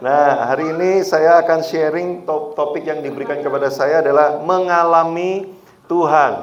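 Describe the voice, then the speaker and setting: Speaking with a strong Javanese accent, a man with a fairly high voice is heard amid noticeable background noise and audible room echo. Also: moderate pace. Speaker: guest preacher. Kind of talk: sermon. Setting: church. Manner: animated.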